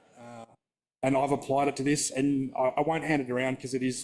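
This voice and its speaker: Speaking at a fairly quick pace, a man with an Australian accent keeps a medium pitch and flat, monotone intonation. The recording is very clean, with a silent background. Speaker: scale modeller presenter. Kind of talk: workshop presentation. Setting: exhibition hall with live audience, livestreamed. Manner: fast; casual, with many fillers.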